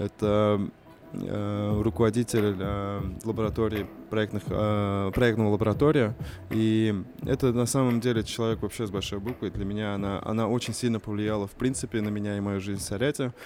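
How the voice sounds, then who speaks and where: Speaking in a plain, everyday voice, a man keeps a fairly low pitch, a moderate pace and fairly even intonation. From Russia, Kazan (Tatar). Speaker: youth project manager and poet. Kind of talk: casual chat.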